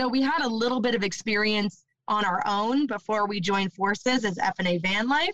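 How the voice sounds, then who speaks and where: In a Canadian accent, a woman with a plain, everyday voice talks at a fairly slow pace, at medium pitch with ordinary pitch variation, in a dry, close sound with no echo. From Ontario, Canada. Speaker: van life podcaster. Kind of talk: casual chat.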